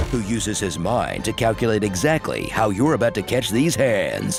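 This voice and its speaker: A man at a moderate pace, medium-pitched with lively intonation, music playing behind him. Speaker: voice actor. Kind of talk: comedic movie trailer narration.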